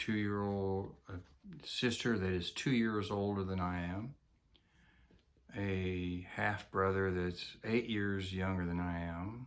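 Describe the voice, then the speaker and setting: A man speaks at a very slow pace with a fairly low pitch and fairly even intonation. The recording is very clean, with a silent background. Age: 70s. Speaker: retiree vlogger. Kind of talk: personal monologue. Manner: halting, many fillers.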